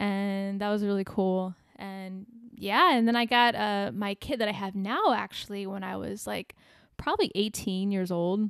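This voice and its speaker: A woman with an American accent, an ordinary speaking voice, medium pitch and a moderate pace. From US Midwest, small-town Illinois. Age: 30s. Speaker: musician. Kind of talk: casual chat. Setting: living room.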